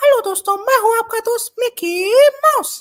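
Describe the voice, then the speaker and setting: In a put-on character voice pitched extremely high, the speaker goes at a fairly slow pace. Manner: cheerful, friendly.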